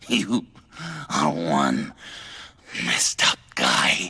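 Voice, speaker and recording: A man's put-on character voice, raspy and very deep, with a nervous tone. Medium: video game. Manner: stammering, nervous laughter.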